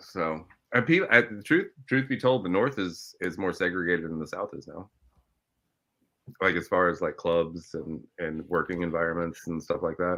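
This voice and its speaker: A man's very deep, low voice with a Midwestern accent, a bright, sharp tone, ordinary pitch variation and big swings in loudness, against a quiet background. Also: moderate pace. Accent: American Midwest. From Ohio, US Midwest. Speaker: filmmaker and TV host. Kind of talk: casual chat.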